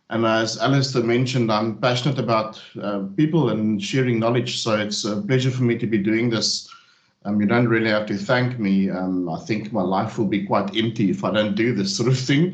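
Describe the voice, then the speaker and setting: In a South African accent, a man with a medium-pitched voice speaks with ordinary pitch variation, and audible room echo surrounds him. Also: moderate pace. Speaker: technical trainer. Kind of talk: technical webinar presentation. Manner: hesitant, many fillers.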